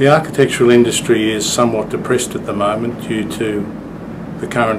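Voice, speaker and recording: Speaking at a fairly quick pace with an Australian accent, a man with a medium pitch is heard over noticeable background noise. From Sydney, Australia. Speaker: architect. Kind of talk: interview answer.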